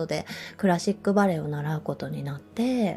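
A woman speaks in a relaxed, somewhat breathy tone with lively intonation. The recording is very clean, with a silent background. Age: 30s. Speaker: yoga instructor. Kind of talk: casual monologue podcast. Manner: relaxed, laughs often.

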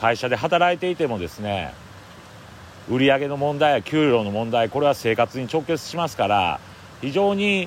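A man with a fairly high voice speaks with very wide pitch swings. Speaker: forest owner and podcaster. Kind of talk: solo outdoor audio diary. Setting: outdoors in a mountain forest.

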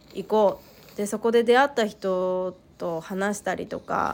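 Music plays in the background as a woman speaks at a fairly slow pace. Her medium-pitched voice keeps a fairly even intonation. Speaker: solo podcaster, mother. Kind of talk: casual solo monologue. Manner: halting, many pauses and fillers.

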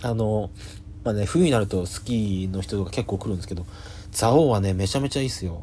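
The voice is somewhat breathy with a dark, mellow tone, and it moves at a very fast pace. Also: man, fairly low pitch for a man, ordinary pitch variation. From Japan, Yamagata. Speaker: comedian. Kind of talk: solo podcast monologue. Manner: hesitant, many fillers.

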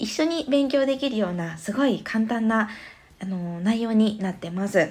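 With an unremarkable speaking voice, a woman speaks at a moderate pace with lively intonation and a fairly high pitch. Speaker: parenting podcaster. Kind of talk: casual monologue. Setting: stand.fm podcast.

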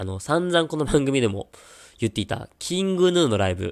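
A man talks at a fairly quick pace and medium pitch, his pitch swinging very widely. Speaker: podcast host. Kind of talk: casual solo talk. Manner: casual, chatty.

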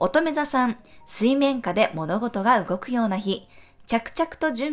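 A woman with a fairly high pitch has a plain, everyday voice. She talks at a fairly slow pace with lively intonation. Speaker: astrologer and tarot reader. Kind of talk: daily horoscope podcast monologue. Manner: gentle, conversational with frequent ね fillers.

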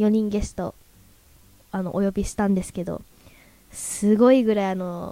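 A woman with a medium pitch talks at a moderate pace with fairly even intonation, big swings in loudness, and long, frequent pauses. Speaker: radio host. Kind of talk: casual chat. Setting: live recording with audience.

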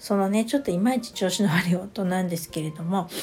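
A woman talks at a fairly quick pace with ordinary pitch variation. Her voice is somewhat breathy with a dark, mellow tone. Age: 50s. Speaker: astrology adviser podcaster. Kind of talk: casual solo talk. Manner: many fillers, hesitant.

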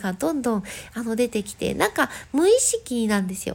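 A woman speaks in an ordinary speaking voice at a moderate pace. Her intonation is lively. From Japan, Gifu. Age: 40s. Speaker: podcast host and dancer. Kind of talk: casual solo talk. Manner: polite, with many fillers.

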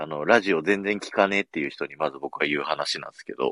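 A man's voice at a fairly quick pace. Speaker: podcast host and radio station employee. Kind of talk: casual chat. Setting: radio booth.

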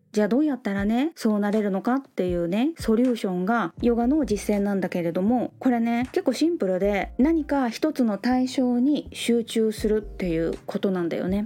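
Delivered at a moderate pace with hardly any pauses, the voice has a dark, mellow tone and lively intonation. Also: woman, fairly high pitch for a woman. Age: 50s. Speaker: yoga teacher. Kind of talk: casual solo talk. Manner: casual.

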